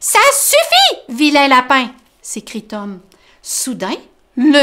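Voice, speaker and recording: A woman speaks in an animated, gentle tone at a high pitch with lively intonation. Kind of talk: children's storytime reading aloud, bedtime-story style. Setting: online video from the library. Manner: animated, expressive, playing character voices with gentle exclamations; warm, friendly, explaining words simply for kids.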